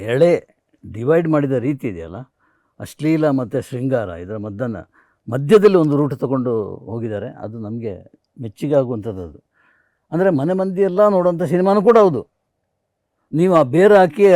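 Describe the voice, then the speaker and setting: A man's fairly high voice, dark and mellow in tone, swings very widely in pitch and shows big swings in loudness. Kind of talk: casual interview chat.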